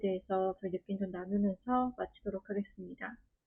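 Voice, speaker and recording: A woman speaks at a moderate pace and a medium pitch. She has a plain, everyday voice. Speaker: workshop facilitator. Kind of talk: online workshop facilitation.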